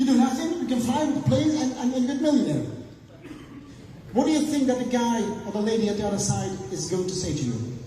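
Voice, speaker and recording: Audible room echo and noticeable background noise accompany a man talking at a fairly quick rate. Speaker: business seminar speaker. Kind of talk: motivational seminar talk. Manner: fast.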